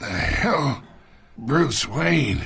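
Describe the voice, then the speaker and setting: A man performs a put-on character voice, raspy and fairly high in pitch. His pitch swings very widely. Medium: machinima. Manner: taunting, condescending.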